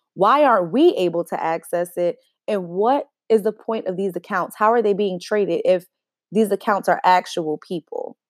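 Moderate pace and ordinary pitch variation in an American accent, an unremarkable speaking voice, dry and close with no echo, in a very clean recording with a silent background. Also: woman. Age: 20s. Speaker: podcast host. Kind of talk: solo monologue.

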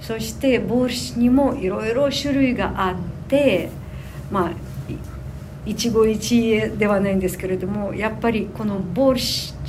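A woman's fairly high pitch with ordinary pitch variation at a very slow pace, amid audible room echo and noticeable background noise. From Ukraine (Sumy region). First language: Ukrainian or Russian (speaking Japanese). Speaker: tour guide trainee, Ukrainian resident. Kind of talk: interview. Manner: halting.

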